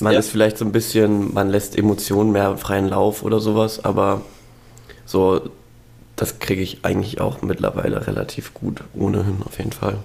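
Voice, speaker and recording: A man's fairly low voice, flat and monotone, at a moderate pace. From Spreewald, eastern Germany. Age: 20s. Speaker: university student. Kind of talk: casual interview.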